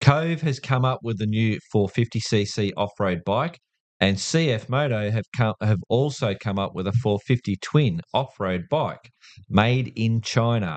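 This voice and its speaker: Over a quiet background, a man with an Australian accent speaks at a very slow pace and medium pitch with ordinary pitch variation, in a dry, close sound with no echo. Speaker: podcast host. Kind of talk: casual chat.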